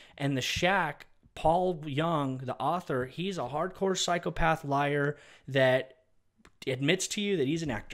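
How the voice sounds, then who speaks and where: An animated tone with ordinary pitch variation comes through in a very clean recording with a silent background. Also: man. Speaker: evangelist ministry host. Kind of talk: preaching commentary. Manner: fast.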